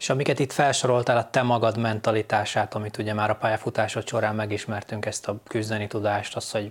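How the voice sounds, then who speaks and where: This man talks at a very fast pace with a medium-pitched voice. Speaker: podcast host. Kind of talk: casual interview chat.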